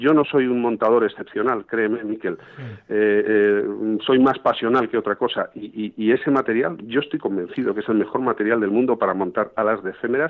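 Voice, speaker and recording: A man with an unremarkable speaking voice talks at a medium pitch, his intonation fairly even. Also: fairly quick pace, hardly any pauses. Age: 50s. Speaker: fly fishing guide and fly tier. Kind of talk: casual interview. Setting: phone call.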